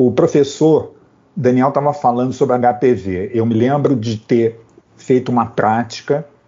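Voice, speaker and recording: Speaking at a fairly slow pace, a man holds a medium pitch and fairly even intonation. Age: 60s. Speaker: physician and public health researcher. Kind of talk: panel discussion. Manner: halting.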